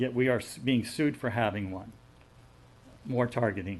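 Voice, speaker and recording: Noticeable background noise fills the recording. Over it, a man talks at a moderate pace. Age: 70s. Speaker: farmer giving public comment. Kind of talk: public comment at county meeting. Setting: county commission meeting. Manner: halting, repeats words.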